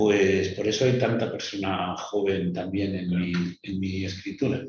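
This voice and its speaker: With audible room echo, a man speaks in a somewhat breathy voice. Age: 60s. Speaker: writer. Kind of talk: interview.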